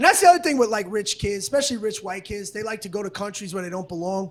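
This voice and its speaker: High-pitched male speech against noticeable background noise. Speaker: stand-up comedian. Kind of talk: stand-up. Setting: stage with audience. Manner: aggressive, sounds angry.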